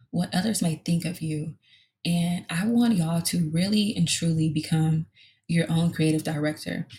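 Speaking at a fairly slow pace, a woman with an American accent has a fairly low pitch, ordinary pitch variation, a dark, mellow tone and a somewhat breathy quality. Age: 20s. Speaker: podcast host and lash artist. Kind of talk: casual solo monologue.

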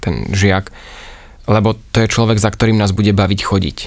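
Fairly low-pitched and full of vocal fry, a man speaks with monotone, flat intonation. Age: 30s. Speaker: yoga teacher. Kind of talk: casual interview. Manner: cheerful.

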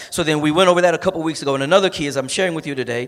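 A plain, everyday voice from a man with fairly high pitch and ordinary pitch variation. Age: 50s. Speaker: pastor. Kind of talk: sermon.

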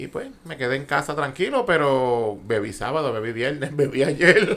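Very wide pitch swings in a Puerto Rican accent. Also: man. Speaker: podcast co-host. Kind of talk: casual banter podcast.

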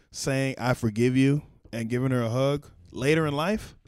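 A man with a medium pitch and ordinary pitch variation talks at a moderate speed. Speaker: comedian. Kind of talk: casual chat.

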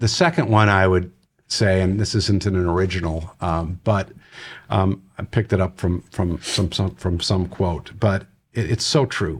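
Very deep and low in pitch, a man with an American accent sounds somewhat breathy at a fairly slow pace in a very clean recording with a silent background. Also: ordinary pitch variation. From Wisconsin, US Midwest. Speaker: nonprofit youth organization CEO. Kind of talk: interview. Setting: studio.

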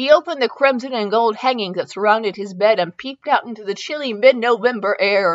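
Reading done in a natural voice.

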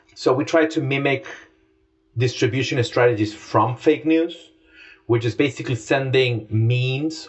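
A man speaks in a somewhat breathy, medium-pitched voice with ordinary pitch variation. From Latin America. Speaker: journalist, audience editor. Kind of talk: interview.

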